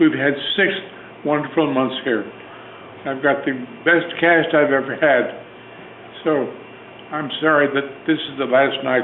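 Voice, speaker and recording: An American accent at a moderate pace, with noticeable background noise. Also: man. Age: 80s+. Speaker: author and playwright. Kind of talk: speech to theater audience. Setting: theater, live audience. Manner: energetic.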